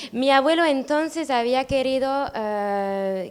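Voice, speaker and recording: A woman with a French accent, at a very slow pace with lively intonation. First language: French (speaking Spanish). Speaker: granddaughter of a painter's friend. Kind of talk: public talk. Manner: halting.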